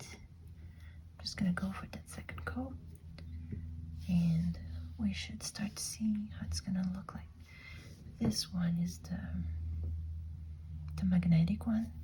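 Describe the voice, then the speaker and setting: Very slowly and with long, frequent pauses, a whispered voice comes through noticeable background noise. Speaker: ASMR creator. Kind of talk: ASMR nail polish haul and manicure.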